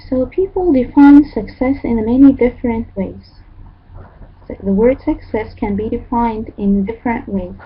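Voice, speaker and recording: In an Arabic accent, a woman speaks at a moderate pace in a high pitch, with ordinary pitch variation. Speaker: English teacher. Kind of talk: online lecture. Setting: online class with chat. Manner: halting.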